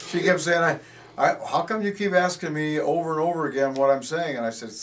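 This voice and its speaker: With ordinary pitch variation and a fairly high voice, a man rattles along at a very fast pace against noticeable background noise. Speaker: volleyball coach. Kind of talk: interview.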